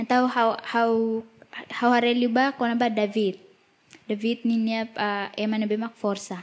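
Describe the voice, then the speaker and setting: Fairly high in pitch, a woman speaks in an East Timorese accent with monotone, flat intonation. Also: moderate pace. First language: Tetum. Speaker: interpreter. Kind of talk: sermon.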